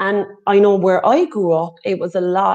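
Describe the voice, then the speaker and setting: A woman speaks in an Irish accent with a dark, mellow tone over a quiet background. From Ireland. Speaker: healing and recovery facilitator. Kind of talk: casual interview chat.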